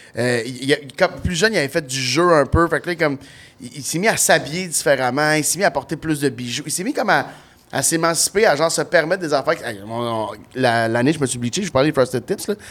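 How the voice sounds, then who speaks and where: A man with a Quebec accent, fairly high in pitch, animated in tone, at a fairly quick pace with ordinary pitch variation. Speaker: comedian. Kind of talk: casual chat.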